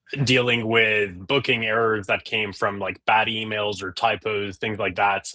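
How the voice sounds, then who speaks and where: Fairly low in pitch, a man speaks at a moderate pace in a bright, sharp tone with monotone, flat intonation. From England. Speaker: tech startup founder. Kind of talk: casual interview. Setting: live stream.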